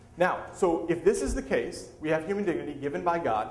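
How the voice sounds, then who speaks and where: Over noticeable background noise and audible room echo, a man talks with lively intonation in a fairly high pitch. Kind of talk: lecture. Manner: fast.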